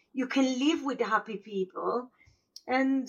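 At a moderate pace, a woman with an Italian accent speaks in a high pitch. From Italy, small northern village. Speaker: former squatter, mother. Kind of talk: interview storytelling. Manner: halting.

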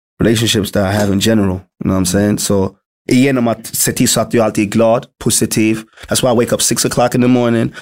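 His loudness very even and his intonation monotone and flat, a man of medium pitch talks at a moderate pace. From Sweden, Malmö. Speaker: rapper. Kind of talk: casual interview.

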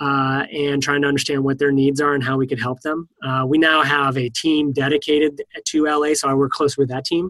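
Here a man with an American accent talks at a fairly quick pace with hardly any pauses. His intonation is monotone and flat. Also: fairly high pitch for a man. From US East Coast. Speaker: software engineering manager. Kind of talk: interview. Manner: hesitant with frequent fillers.

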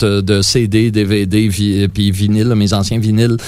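In a Quebec accent, a man is talking. His pitch is medium. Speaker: musician. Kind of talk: interview.

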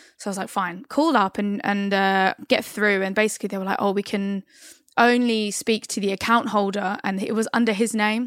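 In a very clean recording with a silent background and a dry, close sound free of echo, a woman uses a normal speaking voice at medium pitch and a moderate pace. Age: 30s. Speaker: musical theatre performer and singer. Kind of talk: casual chat.

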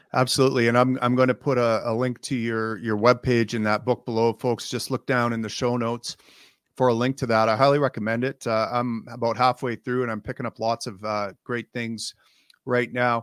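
At a fairly quick pace, a man speaks with a medium pitch and monotone, flat intonation, in a dry, close sound with no echo. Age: 50s. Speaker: podcast host. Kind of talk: interview.

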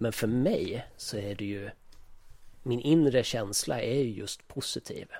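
His tone is dark and mellow. The man talks at a fairly slow pace with ordinary pitch variation. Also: medium pitch for a man. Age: 40s. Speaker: podcast co-host. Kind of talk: casual chat.

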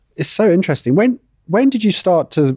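Dark and mellow in tone, a man talks at a fairly quick pace with ordinary pitch variation. The sound is dry and close with no echo. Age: 30s. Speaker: podcast host. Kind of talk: casual interview.

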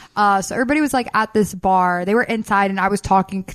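A woman talks at a fairly quick pace and a medium pitch. Her pitch variation is ordinary.

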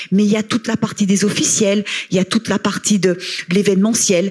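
A woman with a fairly high pitch at a moderate pace, over noticeable background noise. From Haute-Savoie, France. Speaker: sports association president, former tennis player. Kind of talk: panel discussion. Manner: halting, repeats words.

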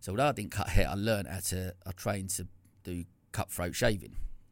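Talking at a very fast pace, a man has a very deep, low pitch. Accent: Essex. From Essex, England. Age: 40s. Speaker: entrepreneur, former salon owner. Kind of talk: casual interview. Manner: halting, many false starts.

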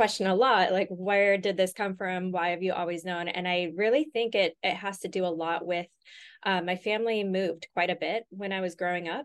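A woman with an American accent speaks at a fairly quick pace and medium pitch with ordinary pitch variation. The background is quiet. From US West Coast, Los Angeles. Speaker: interior designer and business owner. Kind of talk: interview.

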